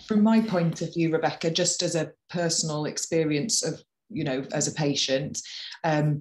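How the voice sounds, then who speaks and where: A woman with a Welsh accent, very deep and low in pitch, at a moderate pace over a quiet background. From Wales. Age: 30s. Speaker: patient campaigner. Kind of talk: personal testimony. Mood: earnest, calm. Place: home room. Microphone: webcam.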